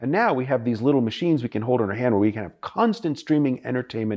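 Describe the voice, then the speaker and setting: A dark, mellow tone against a quiet background. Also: man. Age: 50s. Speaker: professor. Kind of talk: interview.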